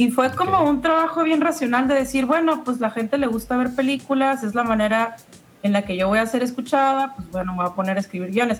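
A woman's high-pitched voice at a very fast pace, with lively intonation. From La Paz, Baja California Sur, Mexico. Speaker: screenwriter and filmmaker. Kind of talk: casual interview chat.

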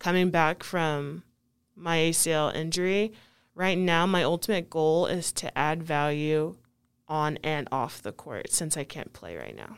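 On a very clean recording with a silent background, a woman with an American accent uses a normal speaking voice, talking fairly slowly at a fairly low pitch with ordinary pitch variation and big swings in loudness. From US (Kentucky, then Pocatello, Idaho), Nigerian parents. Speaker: college basketball player. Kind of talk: casual interview.

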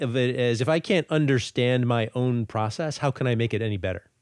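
A man talks in an ordinary speaking voice at medium pitch and a fairly quick pace, with lively intonation. The sound is dry and close with no echo, over a quiet background. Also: very even loudness. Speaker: podcast host. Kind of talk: interview.

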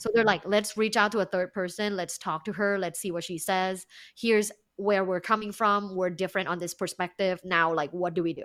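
At a fairly quick pace, a woman talks at a medium pitch with fairly even intonation. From Thailand, Bangkok. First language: Thai. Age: 30s. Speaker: sex and relationship coach, podcaster. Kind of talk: interview.

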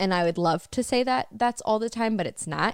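A Michigan accent on a very clean recording with a silent background. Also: woman. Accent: Michigan (Upper Midwest) American. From US Midwest. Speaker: podcast co-host. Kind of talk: casual chat. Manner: animated.

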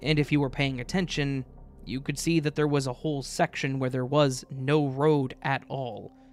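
Music plays in the background. The speaker talks at a fairly slow pace. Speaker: guest story reader. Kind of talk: reading aloud a story.

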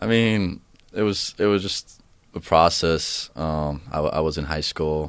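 This man has an Estonian accent. His pitch is very deep and low. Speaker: college soccer player. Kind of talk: casual interview. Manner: hesitant, thoughtful.

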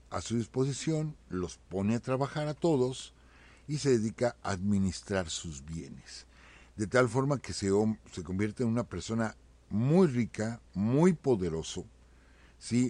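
Over a very clean recording with a silent background, a man speaks fairly slowly at a medium pitch, his dark, mellow tone moving through very wide pitch swings. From Mexico. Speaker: history teacher, co-host. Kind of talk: history talk on live internet radio. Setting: live internet radio studio.

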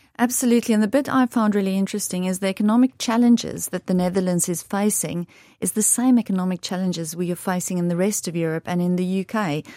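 In a South African accent, a woman talks at a very fast pace with hardly any pauses, at medium pitch, with a dark, mellow tone and ordinary pitch variation. The recording is very clean with a silent background and a dry, close sound with no echo. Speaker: investment director. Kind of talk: interview answers. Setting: studio.

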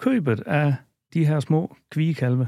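This man's voice sits fairly high in pitch and moves at a very slow pace. The recording is very clean, with a silent background. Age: 50s. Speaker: dairy farmer. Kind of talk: casual interview. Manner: halting.

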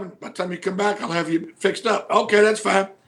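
A high-pitched man's voice with a Southern US accent, very fast, with ordinary pitch variation. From US South, Mid-South near Memphis. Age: 50s. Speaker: pro wrestling manager. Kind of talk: casual interview chat. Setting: studio.

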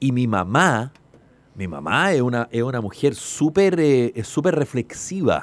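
In a Chilean accent, a man speaks at a very slow pace and a medium pitch with very wide pitch swings. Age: 50s. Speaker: radio host. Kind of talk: casual chat.

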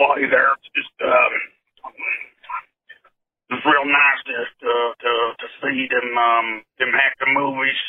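A man puts on a raspy character voice at a medium pitch. He speaks at a very slow pace with a monotone, flat intonation. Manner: folksy, mocking.

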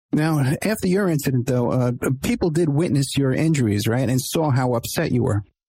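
A man talks at a fairly quick pace and fairly high pitch, with ordinary pitch variation. His dark, mellow tone is somewhat breathy, and his loudness stays very even. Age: 50s. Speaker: podcast host and private investigator. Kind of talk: interview.

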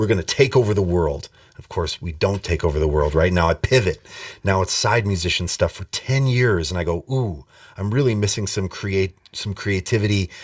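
A man's fairly low, somewhat breathy voice with an American accent, ordinary pitch variation and a moderate pace. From Montana. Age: 40s. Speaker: bass player and music instructor. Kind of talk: casual interview.

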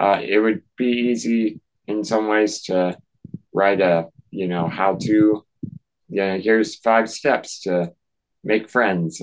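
A man with a plain, everyday voice and an American accent, fairly low-pitched, with ordinary pitch variation at a fairly slow pace. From North Carolina. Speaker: author and speaker, nonprofit founder. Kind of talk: casual interview. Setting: video call.

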